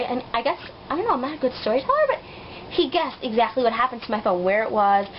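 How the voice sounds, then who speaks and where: A woman's very fast, fairly high voice with lively intonation, over noticeable background noise. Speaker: vlogger. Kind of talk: casual vlog storytelling. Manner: animated.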